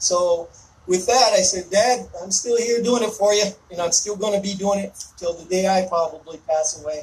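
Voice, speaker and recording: A loud, high-pitched man in an American accent at a moderate pace with ordinary pitch variation, over noticeable background noise. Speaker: army veteran, event host. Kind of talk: ceremony speech to outdoor audience. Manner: forceful, sounds angry to some.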